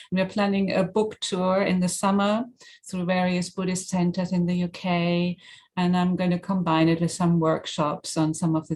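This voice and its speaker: A woman with a German accent speaks at a moderate pace in a fairly low, somewhat breathy voice. Her intonation is monotone and flat, and her loudness stays very even. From Germany. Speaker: mindfulness teacher and author. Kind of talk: interview.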